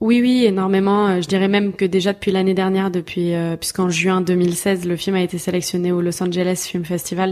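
Her pitch medium and her pace moderate, a woman speaks with monotone, flat intonation. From southern France, Toulouse. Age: 20s. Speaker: filmmaker and actress. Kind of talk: casual chat.

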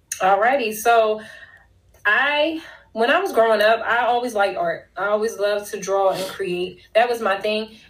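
In a room with audible echo, a woman speaks at a moderate pace and fairly high pitch with ordinary pitch variation. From Philadelphia, US. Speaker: business consultant and author. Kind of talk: casual interview. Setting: remote call.

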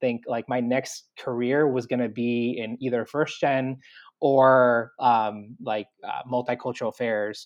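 A man at a medium pitch in a plain, everyday voice, with an American accent. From Long Island, New York. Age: 30s. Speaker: university assistant director. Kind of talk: interview.

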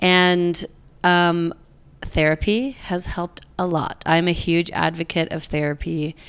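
In a very clean recording with a silent background, a woman with a fairly low pitch speaks at a fairly slow pace with fairly even intonation. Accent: American. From Utah, US (Provo). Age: 30s. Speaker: podcast guest. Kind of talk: casual chat.

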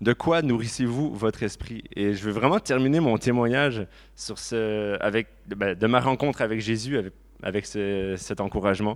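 A normal speaking voice moves at a moderate pace with ordinary pitch variation. The recording is very clean with a silent background. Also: man, fairly low pitch for a man. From Quebec, Laurentides. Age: 30s. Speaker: churchgoer giving testimony. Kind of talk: testimony.

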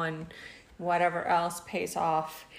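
Room echo can be heard as a woman speaks very slowly in a Spanish accent. Her pitch is fairly low. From Mexico. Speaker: podcast co-host. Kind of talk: casual chat.

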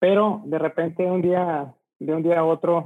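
A man speaks with a northern Mexican accent. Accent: northern Mexican (Monterrey) Spanish. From Mexico, Monterrey. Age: 40s. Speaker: transport logistics entrepreneur. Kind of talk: interview.

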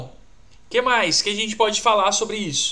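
A man's raised, projected voice, high in pitch, with a bright, sharp tone and a moderate pace. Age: 20s. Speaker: career coach. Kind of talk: live stream talk. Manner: animated; casual slangy.

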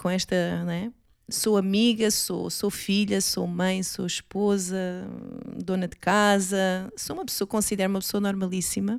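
A woman speaks at medium pitch with a monotone, flat intonation. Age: 40s. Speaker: mother. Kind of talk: casual chat.

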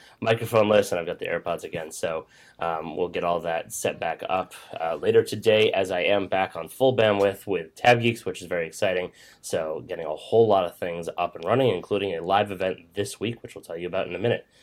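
Putting on a raspy character voice, a man talks at a fairly quick pace in a fairly low pitch, his loudness swinging widely. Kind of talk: energetic intro voice. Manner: rushed, very fast.

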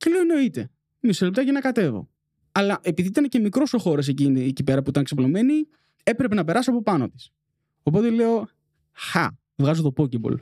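Recorded with a dry, close sound and no echo, a man with a high pitch and a dark, mellow tone talks at a fairly quick pace, with very wide pitch swings and long, frequent pauses. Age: 20s. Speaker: podcast producer. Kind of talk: casual chat.

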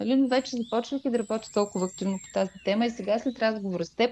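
A woman has an ordinary speaking voice with a fairly high pitch and ordinary pitch variation. The background is quiet. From Bulgaria, Stara Zagora. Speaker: podcast host. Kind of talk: casual interview.

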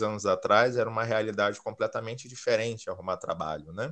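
A man speaks with a Rio de Janeiro accent. His pitch sits fairly low. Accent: Carioca Brazilian Portuguese. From Rio de Janeiro, Brazil. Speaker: recruiter. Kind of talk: podcast interview.

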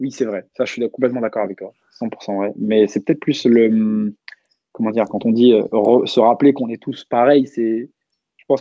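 A man's voice at a moderate pace. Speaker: rap culture project founder. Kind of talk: casual chat.

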